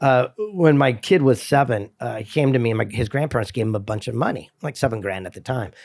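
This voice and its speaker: A man with an unremarkable speaking voice talks at a fairly quick pace with hardly any pauses. His medium pitch shows ordinary pitch variation on a very clean recording with a silent background. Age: 60s. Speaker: motivational speaker and author. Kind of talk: casual chat.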